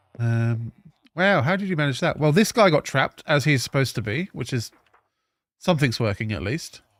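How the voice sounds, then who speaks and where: A man's fairly high voice at a fairly quick pace, with very wide pitch swings in a dry, close sound with no echo. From England. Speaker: gaming streamer. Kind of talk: live stream gameplay commentary. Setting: home live stream at night.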